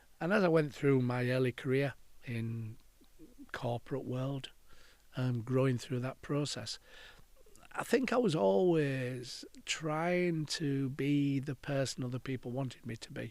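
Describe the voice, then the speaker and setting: A man talks fairly slowly, his medium pitch showing ordinary variation. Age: 60s. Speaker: counselor and podcaster. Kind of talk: reflective monologue. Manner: casual, hesitant with fillers.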